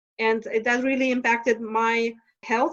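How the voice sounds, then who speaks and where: A woman's fairly high voice with a Lithuanian accent, monotone and flat in intonation, at a fairly quick pace. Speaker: stress management coach. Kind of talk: podcast interview. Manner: halting.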